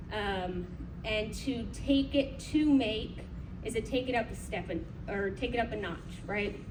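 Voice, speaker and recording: A woman at a fairly slow pace against noticeable background noise. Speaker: conference presenter. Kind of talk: conference presentation. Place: hall. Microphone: camera far.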